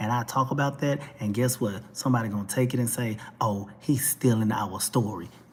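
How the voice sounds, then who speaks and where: A man with a Texas accent talks at a medium pitch with hardly any pauses. Noticeable background noise sits behind him. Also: fairly quick pace. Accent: Texas twang. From Texas, Dallas. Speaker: talk show vlogger. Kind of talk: opinion rant monologue. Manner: animated.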